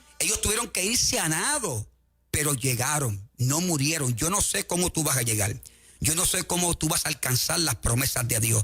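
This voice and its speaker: Keeping his loudness very even, a man talks at a moderate pace in a fairly high pitch, with very wide pitch swings. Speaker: evangelist. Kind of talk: sermon. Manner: animated.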